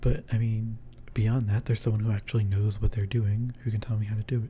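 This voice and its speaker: Somewhat breathy, a man speaks at a medium pitch. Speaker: streamer. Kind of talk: casual chat. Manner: halting. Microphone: handheld mic without pop filter.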